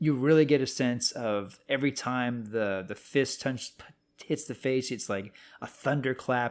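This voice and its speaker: A man talks at a fairly slow pace in a plain, everyday voice, with medium pitch and ordinary pitch variation. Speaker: film critic. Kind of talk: casual podcast conversation.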